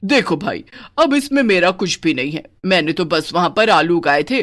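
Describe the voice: Pitched in the middle range, a cartoonish character voice speaks at a moderate pace.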